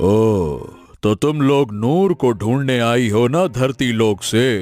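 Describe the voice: A man's cartoonish character voice at medium pitch, with lively intonation and a fairly slow pace.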